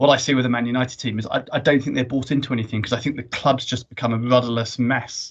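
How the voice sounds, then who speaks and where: A man with a southern English accent talks at a very fast pace, with hardly any pauses. His pitch is medium. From Jersey. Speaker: business executive. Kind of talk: casual chat. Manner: animated.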